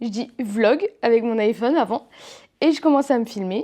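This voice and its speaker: A woman speaks at a fairly slow pace in a fairly high pitch with ordinary pitch variation. Her tone is dark and mellow, and the background is quiet. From eastern France. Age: 20s. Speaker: YouTuber. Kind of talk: casual vlog talk to camera. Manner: hesitant, many fillers.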